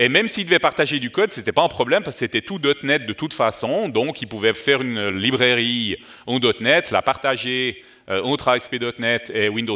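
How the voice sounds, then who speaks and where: Speaking at a fairly quick pace, a man with a Vaud accent has a medium pitch. His tone comes across bright and sharp. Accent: Vaud Swiss French, good. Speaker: developer advocate, conference speaker. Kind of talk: conference talk. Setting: conference stage with audience. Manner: hesitant, many fillers.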